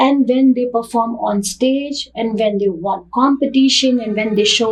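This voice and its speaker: A woman with an Indian accent speaks at a high pitch and a fairly slow pace. Her pitch varies in an ordinary way, and there is noticeable background noise. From northern India. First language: Hindi. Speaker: dance teacher and academy founder. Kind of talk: interview.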